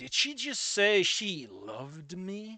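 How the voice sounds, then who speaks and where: Using a put-on character voice, a man projects loudly at a high pitch and a fairly slow pace. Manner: detective-style delivery.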